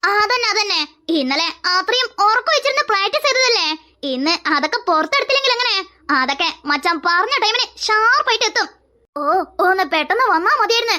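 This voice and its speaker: This is a cartoonish character voice at an extremely high pitch. It moves along at a fairly quick pace. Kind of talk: cartoon dialogue, multiple character voices.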